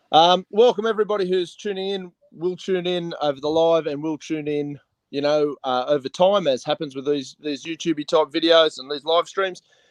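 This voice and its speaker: A man with a strong Australian accent talks at a fairly quick pace, his fairly high pitch showing ordinary variation. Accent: broad Australian. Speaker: online talk show host. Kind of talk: casual interview chat. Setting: live stream.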